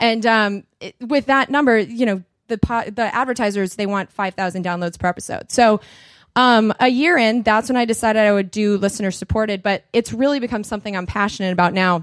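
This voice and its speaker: A woman speaks at a fairly quick pace with an American accent, an ordinary speaking voice, fairly high pitch and ordinary pitch variation. The recording is very clean with a silent background and a dry, close sound with no echo. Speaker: podcaster. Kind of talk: conference talk. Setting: conference stage with audience.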